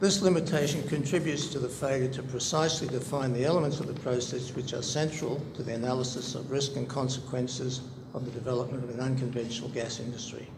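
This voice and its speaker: Speaking at a very fast pace with hardly any pauses, this voice has fairly even intonation and an Australian accent, with audible room echo and noticeable background noise. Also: man, medium pitch for a man. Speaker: public hearing submitter, researcher. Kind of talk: formal submission, reading a paper aloud with ad libs. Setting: public inquiry hearing. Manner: formal.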